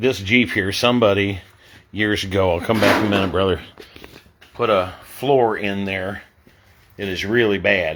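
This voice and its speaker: A man speaks at a moderate pace in a fairly low voice, with fairly even intonation and long, frequent pauses. Noticeable background noise can be heard. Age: 60s. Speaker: street ministry missionary. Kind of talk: casual video update. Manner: halting.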